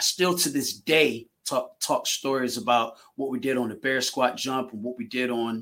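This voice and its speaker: In a plain, everyday voice, a man talks at a moderate pace with a medium pitch and ordinary pitch variation. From Virginia. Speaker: track coach. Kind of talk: casual chat.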